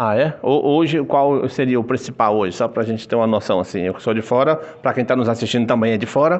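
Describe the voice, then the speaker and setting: A man talking at a very fast pace, with hardly any pauses and ordinary pitch variation. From Brazil, Brasília. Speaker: truck driver vlogger. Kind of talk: casual vlog chat. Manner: animated; loud. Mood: joking, upbeat. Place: office. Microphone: phone near.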